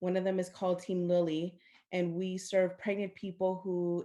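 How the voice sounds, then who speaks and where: On a very clean recording with a silent background, a woman speaks at a moderate pace in a fairly low pitch, her dark, mellow tone delivered with monotone, flat intonation. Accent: Spanish. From US, Central American family. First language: Spanish. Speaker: maternal health program manager, panelist. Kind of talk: panel discussion.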